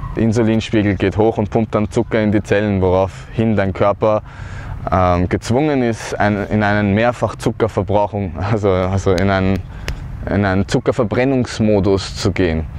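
A man with a fairly low pitch speaks at a moderate pace, with ordinary pitch variation and very even loudness. The sound is dry with no echo, with light background noise. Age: 30s. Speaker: cancer survivor. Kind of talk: personal testimony talk to camera. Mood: earnest, calm. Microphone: lapel.

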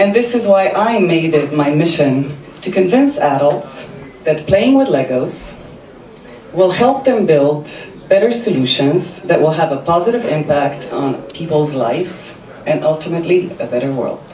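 A woman with a Slovenian accent at a moderate pace, with audible room echo and light background noise. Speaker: service designer and amateur comedian. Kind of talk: stand-up comedy set with self-deprecating punchlines. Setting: stage with audience. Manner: wry, self-mocking delivery timed for audience laughs; brisk, run-on setups building to punchlines. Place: stage.

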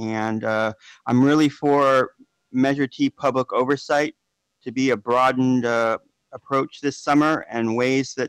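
A man talks at a fairly slow pace in a flat monotone. The background is quiet and the sound is dry with no echo. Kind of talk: public comment. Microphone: phone line.

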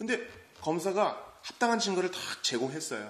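A man speaks in an animated, dramatic tone with vocal fry. There is audible echo from the room. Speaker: preacher. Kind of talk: sermon at early-morning church service. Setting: church. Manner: animated, conversational, dramatic storytelling with rhetorical questions. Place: church.

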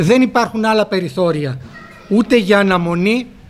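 A man with a high pitch speaks at a fairly slow pace with ordinary pitch variation. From Greece, Fthiotida (Locris); Greece. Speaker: politician. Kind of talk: formal speech. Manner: formal. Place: hall. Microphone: podium.

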